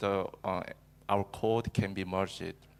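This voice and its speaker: With a Korean accent, a man speaks at a fairly slow pace. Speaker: cloud engineer and user group organizer. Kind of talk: conference talk. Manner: halting, many fillers.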